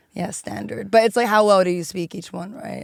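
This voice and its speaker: With vocal fry in her voice, a woman talks with ordinary pitch variation. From Hong Kong (Italian-Chinese family). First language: Cantonese, Mandarin, Italian and English. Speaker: social media and viral video expert. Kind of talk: podcast interview. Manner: casual, filler-heavy.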